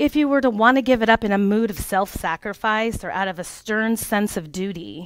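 A woman's fairly high voice at a moderate pace, with lively intonation, a dry sound with no echo, and a quiet background. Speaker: life coach and former childcare provider. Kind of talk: workshop presentation. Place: meeting room.

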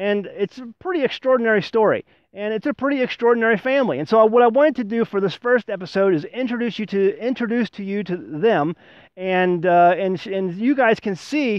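Recorded dry with no echo over a quiet background, a man speaks at a high pitch with ordinary pitch variation. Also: fairly quick pace. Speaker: homesteading channel host. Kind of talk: casual vlog chat. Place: forest.

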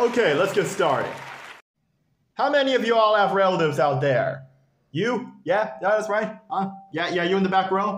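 Speaking at a fairly slow pace, a man uses a high pitch, lively intonation and an animated tone. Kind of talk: stand-up storytelling with character voices. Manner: animated, comedic, doing exaggerated grandfather voice.

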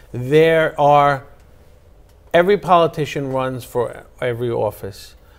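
A man speaks with a New York accent. His pace is fairly slow. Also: fairly high pitch for a man, ordinary pitch variation. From Queens, New York. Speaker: attorney and former city councilman; attorney, former city councilman. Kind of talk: political interview. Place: studio. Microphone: lapel.

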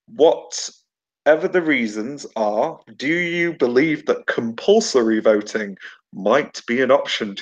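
The man's delivery is fairly slow. Around him, the background stays quiet. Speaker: webinar moderator. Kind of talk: online panel webinar. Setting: video call. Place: home room. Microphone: webcam.

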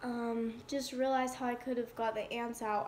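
A woman talks in a high pitch. Light background noise is present. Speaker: vlogger. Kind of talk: casual vlog chat. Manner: sleep-deprived, droopy, slurred-sounding delivery.

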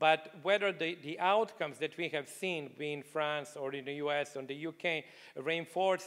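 Against a quiet background, a man with a non-native accent talks at a moderate pace, his fairly high pitch held in fairly even intonation. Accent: non-native, foreign-accented English. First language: not English. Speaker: economist, book contributor; panelist. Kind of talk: panel discussion. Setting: stage with live audience. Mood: calm explanatory. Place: hall. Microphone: handheld.

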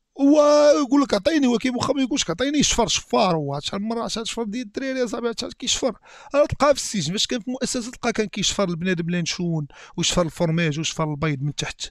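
In a Moroccan accent, a man with a high pitch speaks very fast in an animated tone, with very wide pitch swings, hardly any pauses, a quiet background and a dry sound with no echo. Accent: Moroccan Darija. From Morocco. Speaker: YouTube reactor. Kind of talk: reaction video commentary. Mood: joking, amused. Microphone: headset.

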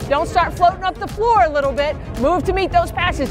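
Clear music plays in the background as the speaker talks at a fairly quick pace with ordinary pitch variation. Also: woman. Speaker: basketball head coach. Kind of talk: coaching instructions. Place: hall. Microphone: lapel.

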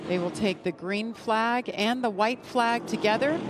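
Over noticeable background noise, a woman with a fairly high pitch sounds animated and excited, her intonation lively. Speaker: race announcer. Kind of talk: live race commentary. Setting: broadcast booth. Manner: animated, excited play-by-play.

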